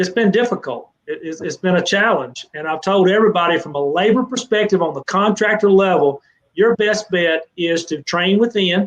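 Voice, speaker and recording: With a Southern US accent, a man talks at a moderate pace in a high pitch, with ordinary pitch variation and hardly any pauses. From Mississippi, US South. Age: 60s. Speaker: fencing trade association director. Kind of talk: live interview Q&A. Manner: animated.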